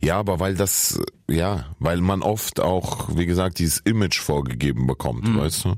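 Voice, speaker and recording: A man with a very deep, low pitch, lively intonation, very even loudness and a moderate pace against noticeable background noise. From Saarland, Germany (born in Kyrgyzstan). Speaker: comedian and rapper. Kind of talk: casual chat.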